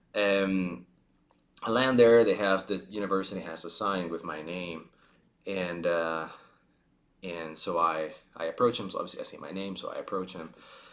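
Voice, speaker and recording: At a moderate pace, a man with a Spanish accent speaks in a very deep, low voice with ordinary pitch variation, big swings in loudness and long, frequent pauses. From Spain. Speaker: vlogger. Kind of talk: casual storytelling monologue. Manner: halting, many fillers and restarts.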